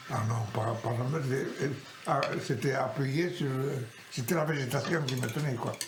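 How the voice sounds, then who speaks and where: At a fairly slow pace, a man with a medium-pitched voice speaks with ordinary pitch variation against noticeable background noise. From Occitania, southern France. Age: 80s+. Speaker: farmer. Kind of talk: casual family conversation.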